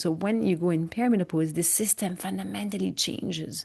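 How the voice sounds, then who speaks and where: With a French accent, a woman talks at a very fast pace in a fairly low, somewhat breathy voice of dark, mellow tone over a quiet background. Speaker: migraine educator and podcast host. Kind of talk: interview. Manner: many fillers and hesitations.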